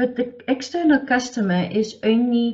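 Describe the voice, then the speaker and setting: Somewhat breathy, a woman speaks at a moderate pace. Her pitch variation is ordinary. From DR Congo, Belgian family. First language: French or Flemish. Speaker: business consultant. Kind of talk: webinar presentation. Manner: hesitant, many fillers.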